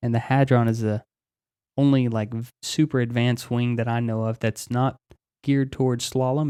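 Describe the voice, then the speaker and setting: A man speaks at a medium pitch and a fairly quick pace. His intonation is monotone and flat, and the sound is dry and close with no echo. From Texas, Dallas area. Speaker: helicopter pilot and paramotor pilot. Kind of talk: casual podcast conversation.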